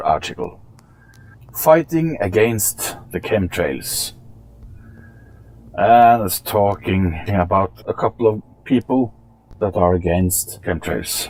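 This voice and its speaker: With a strong Norwegian accent, a man speaks at a very slow pace, his very deep, low pitch making very wide swings. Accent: thick Norwegian. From Norway. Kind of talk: casual commentary to camera.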